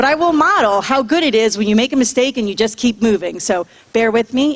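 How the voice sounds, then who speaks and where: Over noticeable background noise, a woman with a fairly high pitch speaks at a fairly quick pace with lively intonation. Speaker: school principal. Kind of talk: public address at school board meeting; reading list of names. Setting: school board meeting with audience.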